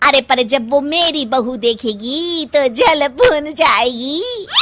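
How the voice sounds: In a cartoonish character voice, a woman talks slowly at a high pitch with a fairly bright tone. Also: lively intonation.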